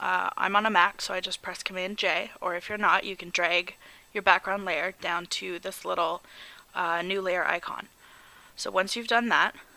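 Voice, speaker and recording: Speaking at a moderate pace and medium pitch, a woman keeps a monotone, flat intonation. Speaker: photographer. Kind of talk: software tutorial narration. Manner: hesitant, stammering.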